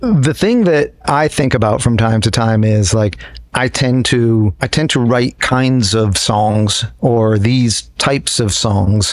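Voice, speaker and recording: A man with an American accent at a medium pitch, very slow yet with hardly any pauses, his loudness very even and his pitch variation ordinary, over noticeable background noise. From upstate New York. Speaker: guitarist in a jam band. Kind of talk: casual interview.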